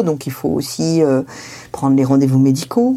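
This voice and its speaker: A woman talks at a fairly quick pace with a very deep, low pitch and ordinary pitch variation. Noticeable background noise is present. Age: 50s. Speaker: family caregiver. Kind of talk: testimony.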